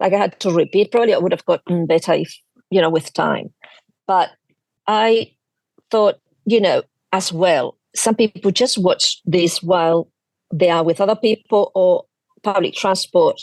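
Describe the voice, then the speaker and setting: In a Spanish accent, a woman speaks at a moderate pace and medium pitch with long, frequent pauses, ordinary pitch variation and very even loudness, in a dry, close sound with no echo. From Spain. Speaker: quilting YouTuber. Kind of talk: casual chat.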